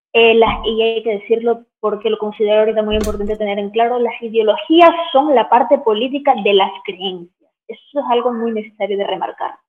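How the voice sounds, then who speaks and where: A woman talks at a fairly quick pace in a fairly high voice, with ordinary pitch variation. It is an ordinary speaking voice. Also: hardly any pauses. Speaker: film analyst and YouTuber. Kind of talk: interview.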